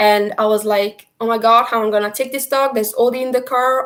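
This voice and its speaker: Very fast speech in an Italian accent with fairly even intonation. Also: woman. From Italy. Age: 30s. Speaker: travel vlogger. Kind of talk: live stream chat answering viewer questions. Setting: live stream from computer.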